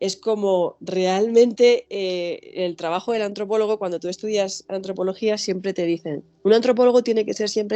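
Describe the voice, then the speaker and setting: A woman with a Spanish accent at a medium pitch and moderate pace, with music in the background. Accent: Spanish (Spain). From Spain. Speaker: anthropologist and author. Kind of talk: interview. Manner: animated.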